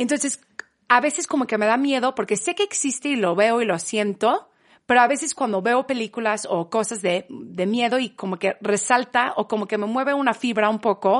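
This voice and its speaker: Over a quiet background, a woman speaks in an ordinary speaking voice, fairly high-pitched with ordinary pitch variation, at a moderate pace. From England, Manchester. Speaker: podcast guest. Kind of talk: casual chat.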